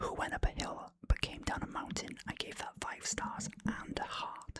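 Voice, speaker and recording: Someone whispers in a relaxed tone with a Welsh accent. The pace is fairly slow. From Wales. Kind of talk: ASMR film review talk. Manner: whispered; relaxed, casual.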